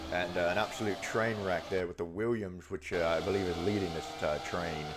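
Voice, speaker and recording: A man's very deep, low pitch with ordinary pitch variation, amid audible room echo and noticeable background noise. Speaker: gaming video creator. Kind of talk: live gameplay commentary. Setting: at home. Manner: soft-spoken.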